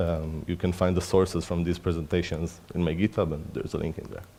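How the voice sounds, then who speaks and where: The man's tone is dark and mellow. His delivery moves at a fairly quick pace. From Israel. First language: Hebrew. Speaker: research engineer, conference speaker. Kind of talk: conference talk. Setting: stage with audience. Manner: halting.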